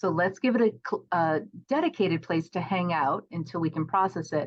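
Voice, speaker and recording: A woman speaks at a moderate pace with a fairly low pitch. She has an unremarkable speaking voice with ordinary pitch variation. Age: 50s. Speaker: professional organizer and course creator. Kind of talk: podcast interview.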